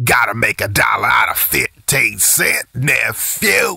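Put-on, raspy character voice from a man, delivered at a fairly slow pace. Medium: cartoon. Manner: exasperated, then upbeat.

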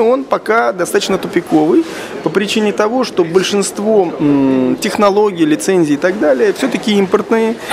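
Noticeable background noise fills the recording. Over it, a man talks at a moderate pace. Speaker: interviewee. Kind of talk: interview answer. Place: hall. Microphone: handheld.

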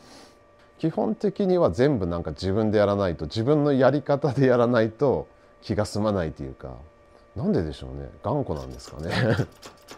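A man's fairly low, dark, mellow voice with vocal fry, big swings in loudness, and a moderate pace. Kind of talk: interview answer. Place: workshop.

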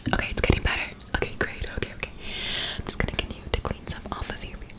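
A woman whispers at a very fast pace. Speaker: ASMR creator. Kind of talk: ASMR whispering. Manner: soft-spoken, repetitive. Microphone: studio mic.

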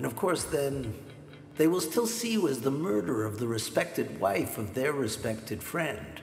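A man talks with audible room echo and light background noise behind him. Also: moderate pace. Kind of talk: drama dialogue. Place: home room.

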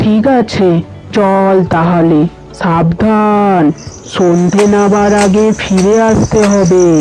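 Clear music plays in the background as a cartoonish character voice at a middle pitch speaks at a very slow pace. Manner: scolding, anxious.

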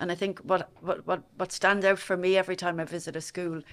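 The speaker has a Dublin accent. The pace is fairly quick. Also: woman. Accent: Dublin Irish. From Dublin, Ireland; Ireland. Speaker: prison service director. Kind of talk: interview. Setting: studio. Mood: proud, hopeful. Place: studio. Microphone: studio mic.

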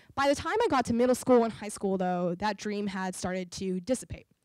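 Against a quiet background, a woman speaks at a moderate pace with lively intonation and a dry sound with no echo. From US South, New Orleans, Louisiana; Louisiana. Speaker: entrepreneur and inventor; guest. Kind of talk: public talk. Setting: stage with audience. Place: hall. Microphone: handheld.

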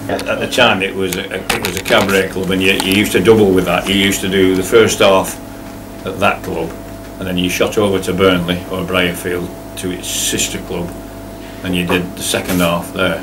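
A man with a Lancashire accent speaks at a fairly quick pace in a very deep, low pitch. His intonation is monotone and flat, and there is noticeable background noise. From Blackburn, Lancashire, England. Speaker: entertainer, singer-songwriter. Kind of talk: interview answer. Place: cafe. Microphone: camera far.

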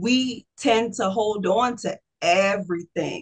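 Against a quiet background, a woman speaks in a somewhat breathy, fairly high voice with ordinary pitch variation. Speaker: holistic health practitioner; guest. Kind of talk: casual interview. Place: home room. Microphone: video call.

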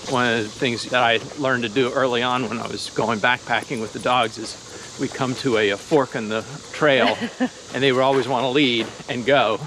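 A man's monotone, flat voice at a moderate pace, dry with no echo, over light background noise. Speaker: dog owner vlogger. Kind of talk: casual vlog chat. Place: forest. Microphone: phone near.

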